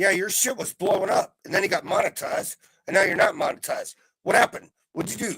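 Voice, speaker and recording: A man's high-pitched, bright, sharp voice at a very fast pace, with ordinary pitch variation and a dry, close sound with no echo. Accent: American. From USA. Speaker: livestream co-chatter. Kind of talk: casual chat.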